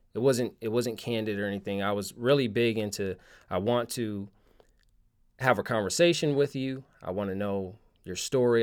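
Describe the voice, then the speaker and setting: With a normal speaking voice and an American accent, a man talks fairly quickly at a medium pitch and with fairly even intonation. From Connecticut, US. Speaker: street photographer. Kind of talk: casual interview chat. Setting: remote call.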